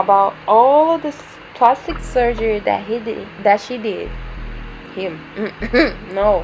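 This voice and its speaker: Noticeable background noise sits behind a woman with a Dominican accent. She speaks at a fairly slow pace in a medium pitch. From Dominican Republic. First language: Spanish. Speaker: beauty vlogger. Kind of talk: makeup tutorial chat. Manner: casual, unscripted, hesitant.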